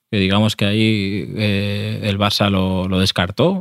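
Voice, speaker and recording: Very slowly, a man speaks in a fairly low pitch with vocal fry. The recording is very clean, with a silent background. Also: dry, close sound with no echo. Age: 30s. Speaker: football podcast co-host. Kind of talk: casual chat. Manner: halting.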